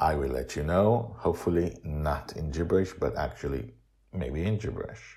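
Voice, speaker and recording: A man speaks with a very deep, low pitch and a dark, mellow tone touched by vocal fry. His intonation is lively, and the recording is very clean with a silent background. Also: moderate pace. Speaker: podcast host. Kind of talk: interview.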